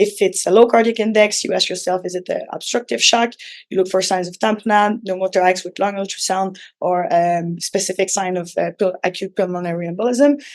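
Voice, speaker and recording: The speaker has a Quebec accent and ordinary pitch variation. The pace is fairly quick. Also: woman, medium pitch for a woman. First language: French. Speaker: physician. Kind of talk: lecture. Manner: halting, many fillers.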